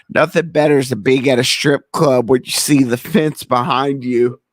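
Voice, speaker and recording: A man talks in an animated tone with a slight Southern US accent. The sound is dry and close, with no echo. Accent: slight Southern drawl. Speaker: podcast host. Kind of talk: casual chat.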